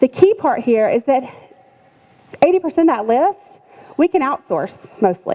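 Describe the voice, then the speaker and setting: A woman speaks in a high voice with very wide pitch swings. Noticeable background noise runs behind her. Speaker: business trainer for essential oil sellers. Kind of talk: business class talk. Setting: room with live audience.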